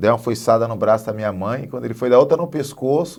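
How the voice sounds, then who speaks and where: A man's voice in a very clean recording, the background silent. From Northeast Brazil. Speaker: guest sharing life story. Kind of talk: testimony. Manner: halting, repeats words.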